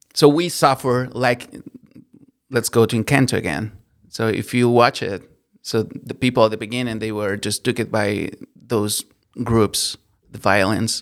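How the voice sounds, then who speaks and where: A man with a Spanish accent and medium pitch speaks fairly slowly, with ordinary pitch variation and long, frequent pauses. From Colombia. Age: 30s. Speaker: worship leader. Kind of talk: interview, personal testimony.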